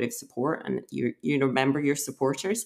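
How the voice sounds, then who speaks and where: A woman talks at a fairly quick pace in a Scottish accent. Her pitch is very deep and low for a woman. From Scotland. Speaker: emergency physician. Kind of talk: interview.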